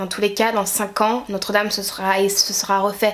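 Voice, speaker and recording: Noticeable background noise runs beneath a woman speaking fairly slowly. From Guadeloupe. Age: 20s. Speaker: YouTuber. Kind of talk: opinion rant to camera.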